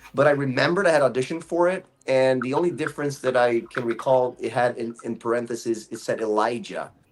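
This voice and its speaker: Over noticeable background noise, a man speaks very fast at a medium pitch, with ordinary pitch variation and hardly any pauses. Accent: American. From Brazil. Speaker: voice actor. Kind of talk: interview.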